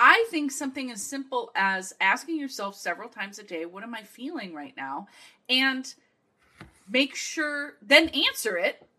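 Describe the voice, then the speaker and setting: A woman with a high pitch and a bright, sharp tone uses a raised, projected voice at a moderate pace, her enthusiastic tone marked by very wide pitch swings and big swings in loudness. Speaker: guest expert. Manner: loud, enthusiastic.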